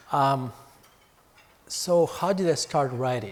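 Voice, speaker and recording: A man speaks with a non-native accent. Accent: foreign. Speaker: author and investment firm CEO. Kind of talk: fireside chat talk. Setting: hotel event with audience. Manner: halting with fillers.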